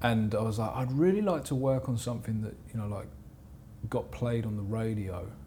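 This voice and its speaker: A man with a southern English accent speaks at medium pitch and a moderate pace, with ordinary pitch variation. His tone is dark, mellow and somewhat breathy, with audible room echo. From southern England, Portsmouth area. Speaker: music producer. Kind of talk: casual interview chat.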